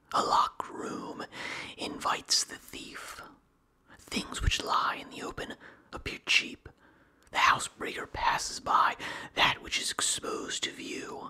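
The voice is whispering at a fairly slow pace. Long, frequent pauses break up the speech. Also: man. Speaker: ASMR creator. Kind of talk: ASMR reading of philosophy. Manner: whispered. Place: home room. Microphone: studio mic.

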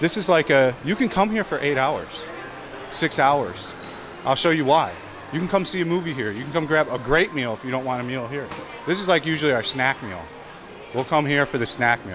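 Noticeable background noise runs under the recording. A man talks with lively intonation. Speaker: travel vlogger. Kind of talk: casual vlog chat. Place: shop. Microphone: phone near.

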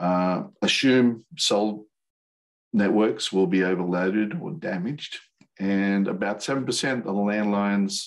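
A man at a fairly slow pace with ordinary pitch variation, over a quiet background. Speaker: radio presenter. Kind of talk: lecture. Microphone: video call.

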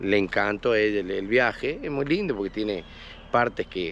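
Over light background noise, a man with an Argentine accent speaks at a fairly low pitch and a moderate pace with ordinary pitch variation, in a dry sound with no echo. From Argentina. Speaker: local resident; interviewee. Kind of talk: interview. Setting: outdoors. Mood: reminiscing, friendly.

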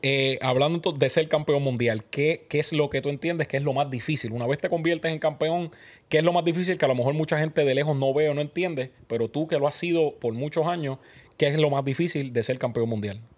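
This man's voice is fairly high. He moves at a fairly quick pace with ordinary pitch variation. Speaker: podcast host. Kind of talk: interview. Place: studio. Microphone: studio mic.

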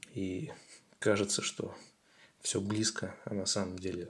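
Fairly even intonation marks this man's speech. His pitch is fairly low and his voice somewhat breathy. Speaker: tutorial video creator. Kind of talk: tutorial.

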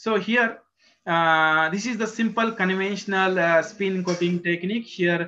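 A man's raised, projected voice in an Indian accent, high-pitched, bright and sharp, at a fairly slow pace over light background noise. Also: fairly even intonation. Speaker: research professor in solar cell materials. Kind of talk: technical lecture. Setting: video call. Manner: halting. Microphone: video call.

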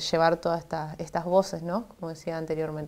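The woman speaking has a fairly low-pitched voice. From Argentina, Santa Fe. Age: 20s. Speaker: politician; politician interviewee. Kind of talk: TV interview. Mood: grateful, hopeful. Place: studio. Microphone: lapel.

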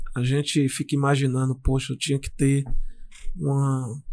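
A man speaks at a fairly slow pace. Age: 40s. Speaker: former footballer; guest. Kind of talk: interview. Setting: studio. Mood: reflective, warm. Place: studio. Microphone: studio mic.

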